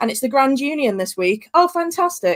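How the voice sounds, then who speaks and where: Speaking in a Birmingham accent, a woman uses a high pitch and lively intonation in a dry, close sound with no echo. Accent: Brummie. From West Midlands, England (Staffordshire). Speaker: tour guide hosting online tours. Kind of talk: casual wrap-up of a live online tour. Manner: hesitant, many fillers.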